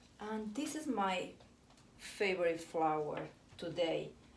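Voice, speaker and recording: Amid noticeable background noise and audible room echo, a woman with a non-native accent speaks very slowly at a medium pitch. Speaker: florist. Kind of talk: tutorial. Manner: halting, self-correcting.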